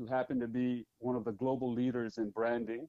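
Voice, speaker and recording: In an American accent, a man speaks at a moderate pace with a dark, mellow tone. The sound is dry and close, with no echo. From Philippines, raised in the US from childhood. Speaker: business owner and army veteran. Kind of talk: interview. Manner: formal.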